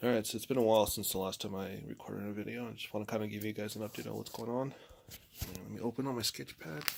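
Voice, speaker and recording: A man speaks quietly and very fast, at a fairly low pitch with fairly even intonation. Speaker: amateur artist vlogger. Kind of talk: casual chat. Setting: at home.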